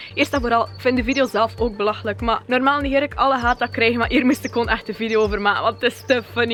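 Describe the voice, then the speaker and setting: A woman talks at a very fast clip over music playing in the background. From West Flanders, Kortrijk. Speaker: YouTuber. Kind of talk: vlog rant. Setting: outdoors. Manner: animated.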